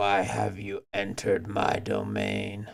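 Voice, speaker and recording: Putting on a character voice, a man growls in a guttural way at a fairly slow pace. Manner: menacing, demanding.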